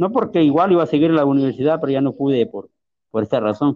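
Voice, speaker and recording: With a fairly high pitch, a man talks at a very fast pace. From Honduras, rural Ocotepeque. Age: 30s. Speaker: blind musician. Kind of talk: testimony. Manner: halting, hesitant.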